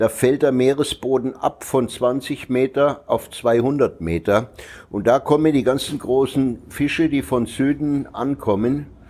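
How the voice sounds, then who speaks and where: At a fairly slow pace, a man speaks at medium pitch in a dark, mellow tone, with ordinary pitch variation and very even loudness. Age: 70s. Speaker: property investor and expat. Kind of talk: interview. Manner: casual, rambling conversational.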